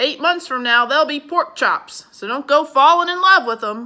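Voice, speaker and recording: Using a put-on character voice, a woman projects a raised, gruff, high-pitched voice at a moderate pace. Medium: read story. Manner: gruff, grumbling.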